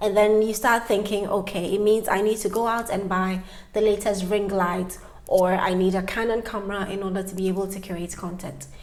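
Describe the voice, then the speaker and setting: There is audible room echo around a woman whose pitch is medium and whose intonation is fairly even. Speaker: YouTuber. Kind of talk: tutorial. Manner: fast.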